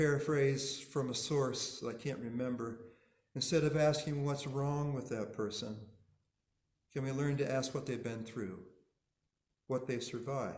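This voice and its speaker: With audible room echo, a man speaks at a fairly slow pace in a medium pitch, somewhat breathy, with fairly even intonation and long, frequent pauses. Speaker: minister. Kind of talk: sermon.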